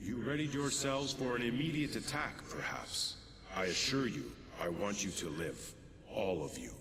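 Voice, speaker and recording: A man puts on a character voice at a moderate pace. Loud background noise and a clear echo fill the recording. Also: medium pitch for a man. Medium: video game. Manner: archaic, formal and commanding.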